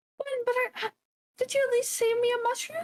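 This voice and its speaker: In a put-on character voice, a woman squeaks out her words at an extremely high pitch and very fast pace, in a dry, close sound with no echo. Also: fairly even intonation. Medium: actual play.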